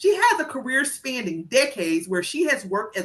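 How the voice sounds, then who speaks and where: At a moderate pace, a woman with an American accent speaks at a fairly high pitch in a bright, sharp tone. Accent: heavy small-town country. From rural US, small town. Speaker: interview host, teacher. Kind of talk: interview. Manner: enthusiastic.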